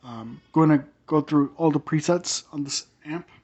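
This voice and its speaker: A man with a fairly high voice talks at a rather slow pace. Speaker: guitar gear youtuber. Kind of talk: product review. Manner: hesitant, filler-heavy.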